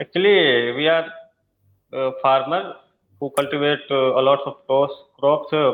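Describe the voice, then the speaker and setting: A man with an Indian accent speaks fairly slowly, with long, frequent pauses. His pitch is fairly high and his intonation fairly even. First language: Hindi. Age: 20s. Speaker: English learner, farmer. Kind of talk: casual conversation practice. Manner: halting, many fillers.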